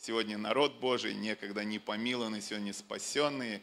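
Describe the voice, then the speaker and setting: A man talks at a moderate pace with fairly even intonation and a bright, sharp tone. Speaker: church leader introducing the preacher. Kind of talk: introduction speech to congregation. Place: stage. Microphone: handheld.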